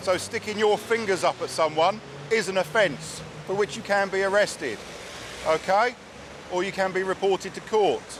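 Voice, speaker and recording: Amid noticeable background noise, a man with a high pitch keeps a fairly even intonation and takes long, frequent pauses. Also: moderate pace. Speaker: traffic police officer. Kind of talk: roadside police stop. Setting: outdoors. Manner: loud; formal.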